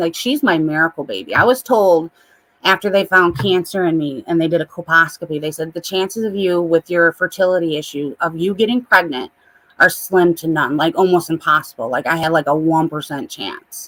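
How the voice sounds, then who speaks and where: Heard in a dry, close sound with no echo, a woman with a Midwestern accent talks at a fairly low pitch with ordinary pitch variation. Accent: Midwest. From US Midwest. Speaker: livestreamer. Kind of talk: casual chat.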